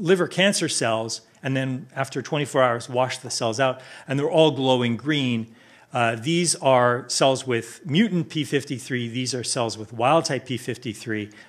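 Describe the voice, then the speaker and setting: A man at a medium pitch and a moderate pace, with ordinary pitch variation over a quiet background. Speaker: chemistry researcher. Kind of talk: conference talk. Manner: halting, many fillers and restarts.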